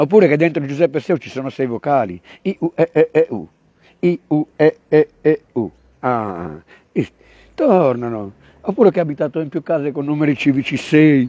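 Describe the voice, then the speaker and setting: A man talks at a fairly slow pace with long, frequent pauses and big swings in loudness, his intonation lively and his pitch fairly high. His tone is dark and mellow, and the sound is dry and close with no echo. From Turin, then Sardinia. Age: 50s. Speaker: rapper. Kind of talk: casual chat. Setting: outdoors. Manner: animated.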